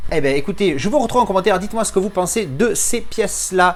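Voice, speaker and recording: Very fast speech comes from a man with a high pitch. His intonation is lively. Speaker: film collector YouTuber. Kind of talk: unboxing review. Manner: casual, hesitant fillers.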